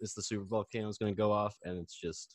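A man with an American accent and a plain, everyday voice talks at a fairly quick pace and fairly low pitch, in a dry, close sound with no echo. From Chicago. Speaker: podcast guest. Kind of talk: casual chat. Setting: video call.

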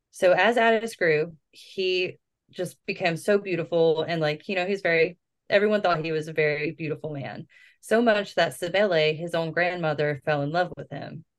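A normal speaking voice with ordinary pitch variation, at a moderate pace. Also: woman, fairly low pitch for a woman. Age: 30s. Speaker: podcast host. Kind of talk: casual storytelling chat. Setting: home recording.

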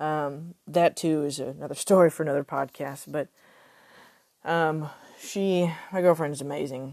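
Against a quiet background, a woman with a Texan accent and a very deep, low pitch speaks at a moderate pace, with fairly even intonation and long, frequent pauses. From Texas. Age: 30s. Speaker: podcaster, suicide survivor. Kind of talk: personal testimony. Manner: halting.

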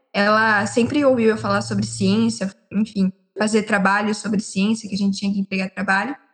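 A woman speaks at a fairly quick pace, her pitch medium with ordinary variation. It is an ordinary speaking voice. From São Paulo state, Brazil (Limeira). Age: 19. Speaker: geology student. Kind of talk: casual chat.

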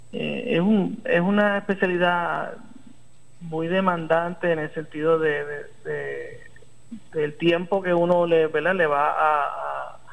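A man speaks with a Puerto Rican accent. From Puerto Rico, Arecibo. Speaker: neurosurgeon. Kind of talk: interview. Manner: halting, many fillers.

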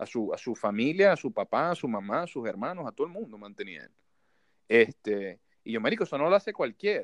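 A man's fairly high, vocal-fry voice in a Maracaibo accent, fairly quick, with very wide pitch swings, dry and close with no echo, over a quiet background. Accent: Maracaibo (marabino). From Venezuela, Maracaibo (Zulia). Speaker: podcast host. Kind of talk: casual chat. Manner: casual, slangy.

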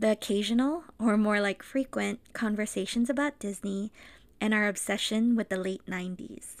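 On a very clean recording with a silent background, the talking proceeds at a moderate pace. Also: woman, fairly high pitch for a woman, ordinary pitch variation. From Los Angeles, US (immigrated from the Philippines at five). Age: 30s. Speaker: podcast co-host. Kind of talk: casual podcast intro, partly scripted.

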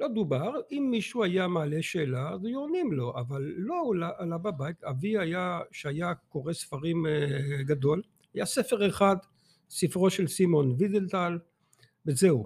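Speaking fairly slowly, a man uses a high pitch and lively intonation. The recording is very clean with a silent background. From Belgium, Antwerp. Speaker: author and teacher. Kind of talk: interview. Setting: studio.

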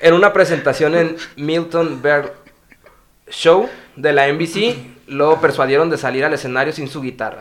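A man talks at a fairly slow pace in a plain, everyday voice. His pitch is fairly high, with ordinary variation. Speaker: podcast host. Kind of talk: reading aloud.

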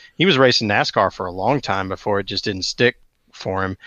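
Southern US accent from a male speaker. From US South, Metro Atlanta, Georgia. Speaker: podcast co-host. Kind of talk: casual chat.

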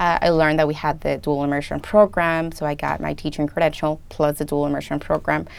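A woman with a Spanish accent, very deep and low in pitch, at a very fast pace with monotone, flat intonation and hardly any pauses. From Colombia, moved to US at 13. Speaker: first grade dual language teacher. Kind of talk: interview.

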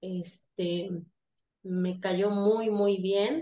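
The intonation stays fairly even. The speaker is a woman. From Veracruz, Mexico. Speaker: nursing student. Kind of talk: farewell remarks in online class.

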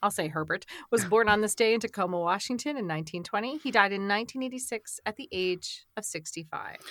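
A woman's very fast, animated and playful delivery in an American accent, medium in pitch, with lively intonation and hardly any pauses. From South Shore of Massachusetts. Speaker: podcast host. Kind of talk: casual chat with scripted celebrity birthday reading. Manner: animated, playful.

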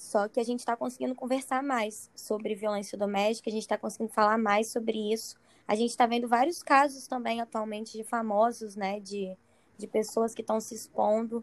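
A woman speaks in an ordinary speaking voice at a fairly quick pace. Her pitch is fairly high and her intonation fairly even. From Espírito Santo. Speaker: psychologist. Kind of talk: casual chat.

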